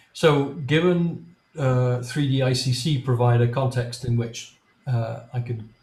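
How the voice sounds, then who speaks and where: Through audible room echo, a somewhat breathy man speaks at a medium pitch and a very slow pace. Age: 60s. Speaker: software developer. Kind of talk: technical presentation. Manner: halting, many fillers.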